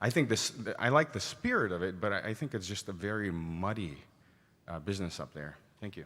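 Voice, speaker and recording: A man speaks at a fairly low pitch in a bright, sharp tone. His delivery is fairly quick, with lively intonation. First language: not English. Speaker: church delegate. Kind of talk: floor debate speech.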